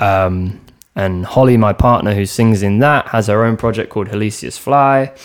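In a London accent, a man speaks at a moderate pace with a fairly low pitch. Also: fairly even intonation. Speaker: drummer. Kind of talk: casual chat. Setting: in the host's home.

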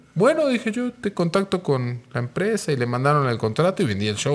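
Against noticeable background noise, a man with a fairly high pitch talks at a fairly quick pace with very wide pitch swings and hardly any pauses. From Argentina, Mar del Plata. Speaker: music manager. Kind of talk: casual chat.

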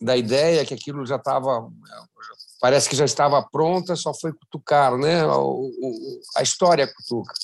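Speaking at a moderate pace, a man has an unremarkable speaking voice with a fairly high pitch and fairly even intonation. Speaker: endurance riding organizer. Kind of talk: casual interview chat.

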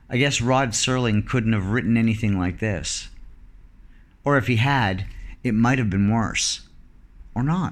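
A man at a fairly slow pace and medium pitch, ordinary pitch variation, very even loudness, long and frequent pauses, and audible room echo. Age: 40s. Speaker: solo podcaster living abroad. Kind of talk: personal monologue.

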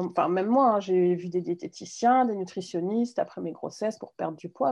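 A woman speaks with an unremarkable speaking voice at a medium pitch and a fairly quick pace. Her pitch variation is ordinary. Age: 40s. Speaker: mindful eating instructor. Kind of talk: interview.

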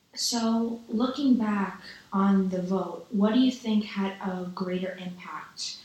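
A woman with a New York accent speaks at a very slow pace, her pitch medium and her intonation fairly even. Noticeable background noise runs underneath. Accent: New York American. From New York City. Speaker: student podcast interviewer. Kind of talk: interview.

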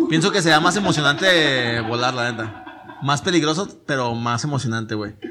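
A man speaks at a fairly high pitch for a man. There is audible room echo and noticeable background noise. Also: lively intonation, moderate pace. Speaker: podcast host. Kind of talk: casual chat. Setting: studio.

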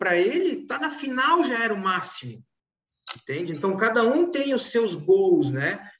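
A man speaks in a high pitch with very wide pitch swings. Room echo can be heard. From Florianópolis, southern Brazil. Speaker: law firm management consultant. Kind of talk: casual chat.

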